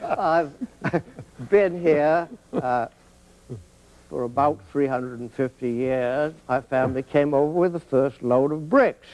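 The speaker has an American accent and talks at a very slow pace. Long pauses come often. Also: man, fairly high pitch for a man, ordinary pitch variation. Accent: Boston Brahmin, old upper-class Boston. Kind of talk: casual conversation.

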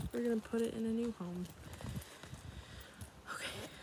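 Speaking with an American accent at a fairly high pitch, a woman is heard in a dry sound with no echo and noticeable background noise. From United States. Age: 20s. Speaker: ASMR creator. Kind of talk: casual talk to camera. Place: home room. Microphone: phone near.

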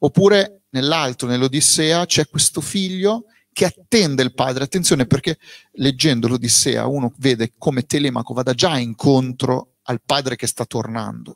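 Medium-pitched and at a moderate pace, a man speaks with ordinary pitch variation in a dry sound with no echo and a quiet background. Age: 40s. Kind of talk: book presentation interview. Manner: plain and direct. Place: shop. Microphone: handheld.

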